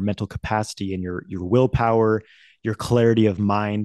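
Against a quiet background, a man's medium-pitched voice sounds dry and close with no echo, and his pitch varies in an ordinary way. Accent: American. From Idaho, US. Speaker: men's coach, teacher of energy practices. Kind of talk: interview conversation.

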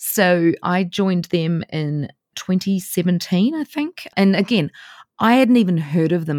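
Recorded very cleanly against a silent background, a woman with a New Zealand accent sounds dry and close, with no echo. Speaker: travel blogger. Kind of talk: interview.

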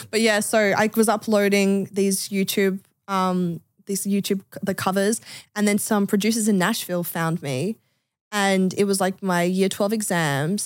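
The recording is very clean, with a silent background. A woman with an Australian accent talks with fairly even intonation. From Adelaide, Australia. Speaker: singer-songwriter. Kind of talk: casual chat.

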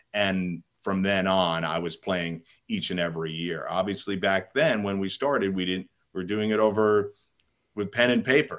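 Against a silent background on a very clean recording, a man with a normal speaking voice talks at a fairly low pitch and moderate pace with ordinary pitch variation. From New York. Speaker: sports media executive and fantasy sports writer. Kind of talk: podcast interview.

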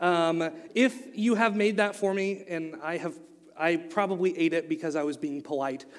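A man speaks with an Oklahoma accent. His pace is moderate. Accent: Oklahoma US South, noticeable. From Oklahoma, US. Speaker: youth pastor. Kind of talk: sermon. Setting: church.

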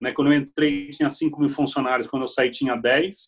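Here is a man with a normal speaking voice at a fairly high pitch. He keeps a moderate pace and ordinary pitch variation. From Brazil, Piracicaba (interior of São Paulo). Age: 40s. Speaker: HR executive. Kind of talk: interview.

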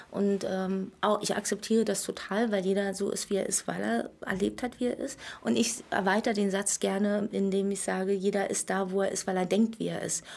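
A woman with a normal speaking voice and a medium pitch talks at a moderate pace, her intonation fairly even and hardly any pauses. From Berlin, former East Germany. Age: 40s. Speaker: entrepreneur running daycare centres. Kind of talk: casual interview chat.

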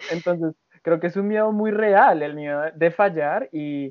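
Moderate pace with a Colombian accent. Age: 20s. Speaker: artist and translation student. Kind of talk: casual chat.

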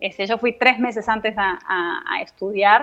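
A woman with a normal speaking voice talks in fairly high pitch with fairly even intonation. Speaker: dance notator and ballet teacher. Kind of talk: interview.

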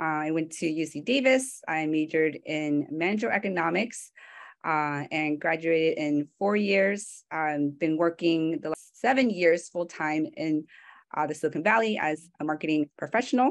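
Against a quiet background, a speaker with a Californian accent talks at a moderate pace with lively intonation. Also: woman, fairly low pitch for a woman. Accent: Californian American English. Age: 20s. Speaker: marketing manager. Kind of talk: talk with slides.

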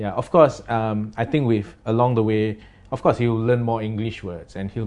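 At a moderate pace, a man with a Singaporean accent speaks at medium pitch with fairly even intonation. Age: 40s. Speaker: creative director. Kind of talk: casual chat. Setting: studio with camera.

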